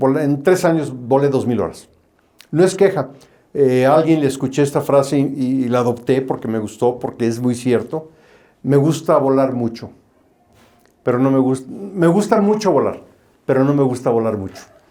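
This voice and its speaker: A man with a medium pitch and a dark, mellow tone speaks at a moderate pace with ordinary pitch variation. He leaves long, frequent pauses. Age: 60s. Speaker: airline pilot. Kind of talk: interview. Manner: hesitant, with fillers.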